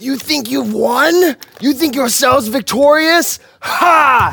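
The put-on character voice is high-pitched and croaky, delivered at a fairly slow pace. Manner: defiant, gloating.

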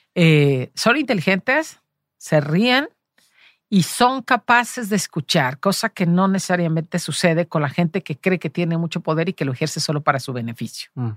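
A woman with a fairly low pitch talks at a moderate pace, her pitch swinging very widely. The sound is dry and close with no echo, on a very clean recording with a silent background. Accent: Jalisco. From Mexico, Los Altos de Jalisco. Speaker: journalist and cultural manager. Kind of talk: interview.

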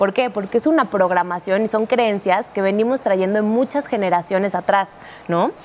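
An unremarkable speaking voice from a woman at medium pitch, moderate pace and ordinary pitch variation. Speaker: neurolinguistics specialist and communication coach. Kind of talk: talk show conversation. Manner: explanatory, teacherly.

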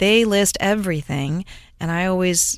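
With an American accent, a normal speaking voice shows ordinary pitch variation on a very clean recording with a silent background. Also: woman. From US Midwest (Cleveland, Ohio area). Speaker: pharmacist and author. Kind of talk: interview.

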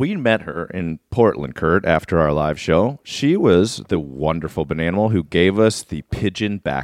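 A man with a very deep, low voice, vocal fry, lively intonation and hardly any pauses. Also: moderate pace. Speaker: comedy podcast co-host. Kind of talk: casual chat. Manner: subdued, holding back volume.

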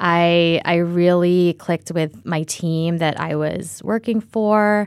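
Heard in a very clean recording with a silent background, a woman with a General American accent has an unremarkable speaking voice and fairly even intonation. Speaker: startup co-founder. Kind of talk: interview conversation.

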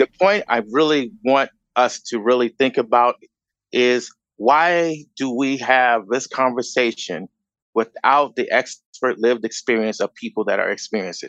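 In a plain, everyday voice, a man with an American accent speaks at a moderate pace, his pitch medium with ordinary variation. The recording is dry and close, with no echo. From Chicago. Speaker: activist and former teacher. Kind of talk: panel discussion.

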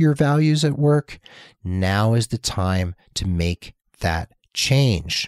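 A man speaks in a plain, everyday voice, fairly low in pitch, with lively intonation. The sound is dry and close with no echo, on a very clean recording with a silent background. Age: 50s. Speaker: nurse career coach and podcast host. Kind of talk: solo podcast monologue.

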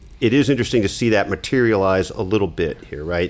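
A man's ordinary speaking voice, fairly low in pitch, at a fairly quick pace with ordinary pitch variation. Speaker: sports columnist. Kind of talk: casual sports discussion.

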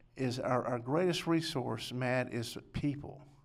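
In a West Texas accent, a man talks at a medium pitch. His intonation stays fairly even. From Lubbock, West Texas. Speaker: political candidate. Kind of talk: interview.

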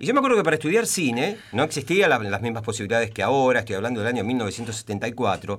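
Lively in intonation, a man at medium pitch talks at a very fast pace with hardly any pauses. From Temperley, Buenos Aires, Argentina. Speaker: journalist and playwright. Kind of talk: radio interview. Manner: halting.

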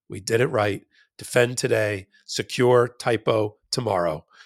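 Vocal fry runs through this man's speech at a moderate pace. The recording is very clean, with a silent background. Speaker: legal podcast co-host and trial attorney. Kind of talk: casual legal news commentary.

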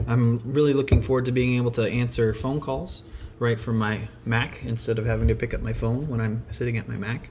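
A somewhat breathy man with a medium pitch talks at a fairly quick pace, his intonation fairly even. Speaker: podcast host and web developer. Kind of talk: casual chat. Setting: secret podcast location with wine.

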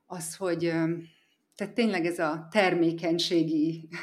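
In a room with audible echo, a woman speaks fairly slowly at a fairly low pitch. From Hungary, Eger area. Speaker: mother living abroad, yoga teacher. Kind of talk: interview. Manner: calm, soothing.

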